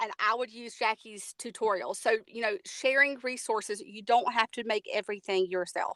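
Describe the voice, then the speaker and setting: Fairly high-pitched woman in a Southern US accent, bright and sharp in tone, with ordinary pitch variation, big swings in loudness, moderate pace, hardly any pauses, and a dry, close sound with no echo. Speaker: technology coach. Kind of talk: webinar presentation. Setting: online webinar.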